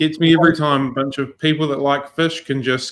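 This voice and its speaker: Speaking with a New Zealand accent, a man talks at a fairly quick pace with a fairly high pitch and fairly even intonation. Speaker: podcast host. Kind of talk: casual chat.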